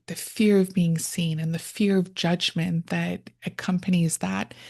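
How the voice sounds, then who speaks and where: Against a quiet background, a woman with a fairly low, somewhat breathy voice talks at a fairly slow pace with fairly even intonation. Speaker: podcast host and therapist. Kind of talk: interview podcast.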